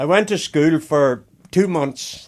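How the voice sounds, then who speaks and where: A man speaks at a very slow pace with ordinary pitch variation. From Ireland, Belfast then Donegal island. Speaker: island resident sharing memories. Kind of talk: oral history interview.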